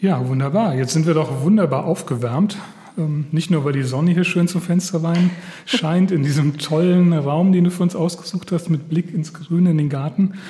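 Noticeable background noise sits behind a high-pitched man talking at a moderate pace with very even loudness and ordinary pitch variation. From Hesse. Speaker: podcast host. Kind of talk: interview. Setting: on location.

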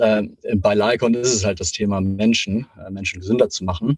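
A man talks at a moderate pace in a normal speaking voice with a fairly low pitch. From Hamburg, northern Germany. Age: 30s. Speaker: health startup executive. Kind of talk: interview.

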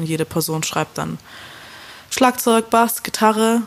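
Noticeable background noise accompanies a woman whose pitch variation is ordinary. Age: 20s. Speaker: indie pop musician. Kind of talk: casual interview. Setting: remote call.

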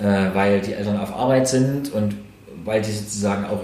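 A man speaks in a fairly low pitch with fairly even intonation. Audible room echo and noticeable background noise surround him. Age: 40s. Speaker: local politician. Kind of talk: interview. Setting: in his shop.

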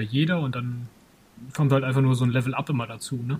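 A man speaks at a fairly quick pace in a monotone, flat intonation. His medium-pitched voice is somewhat breathy. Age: 30s. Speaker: kung fu school owner and podcast co-host. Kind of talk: casual chat.

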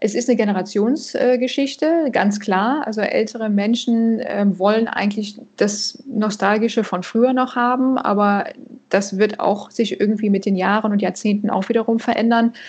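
Using an ordinary speaking voice, a woman talks at a fairly high pitch with fairly even intonation and very even loudness. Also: moderate pace. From Canada. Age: 40s. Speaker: financial advisor. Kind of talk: interview.

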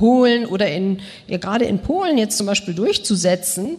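A woman talks at a moderate pace with lively intonation. Noticeable background noise is present. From Germany (Bonn) and Moscow. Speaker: journalist. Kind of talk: panel discussion.

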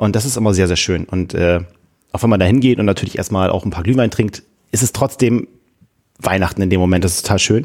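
On a very clean recording with a silent background, a man speaks at a very fast pace with ordinary pitch variation and long, frequent pauses. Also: fairly low pitch for a man. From northern Germany, Friesland-Wilhelmshaven. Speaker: church youth volunteer. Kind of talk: casual chat.

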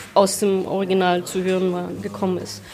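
A woman speaks at a moderate pace and medium pitch. Background noise is noticeable. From Germany. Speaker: interpreter and translator. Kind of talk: interview. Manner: halting, many repetitions.

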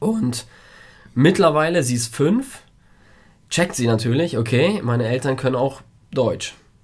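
Fairly slow, with long, frequent pauses, the voice is somewhat breathy and has lively intonation. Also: man, medium pitch for a man. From Germany (grew up with Polish-speaking parents). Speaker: podcast co-host, father. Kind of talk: casual chat.

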